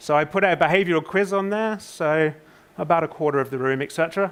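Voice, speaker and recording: Speaking very fast in a British accent, the voice shows ordinary pitch variation. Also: man. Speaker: conference speaker, social psychologist. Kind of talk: conference presentation.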